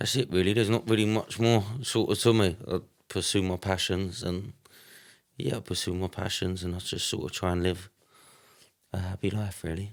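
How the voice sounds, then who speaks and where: A man's very deep, low voice with an English accent, at a moderate pace with fairly even intonation and long, frequent pauses, in a very clean recording over a silent background. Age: 20s. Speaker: church member, kickboxer and construction worker. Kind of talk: casual chat.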